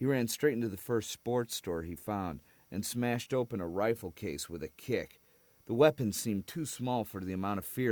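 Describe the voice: The speaker does plain reading aloud, and the pitch varies in an ordinary way.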